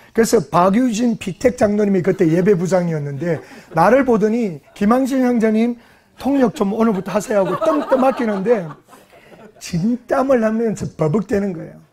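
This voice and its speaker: A high-pitched man talks at a moderate pace with lively intonation amid noticeable background noise. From South Korea, Gyeongsang region. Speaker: pastor. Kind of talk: sermon.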